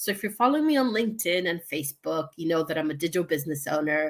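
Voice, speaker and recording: Very wide pitch swings mark a woman's speech in an American accent at a fairly quick pace. The recording is very clean, with a silent background. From United States. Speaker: online show host, digital business owner. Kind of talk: casual live-stream interview. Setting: live stream from living room.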